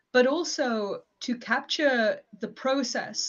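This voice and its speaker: Somewhat breathy, a woman with a West Yorkshire accent speaks with ordinary pitch variation. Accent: mild West Yorkshire English. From northern England, West Yorkshire. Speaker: academic and performance poet. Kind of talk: live stream interview. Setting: live stream.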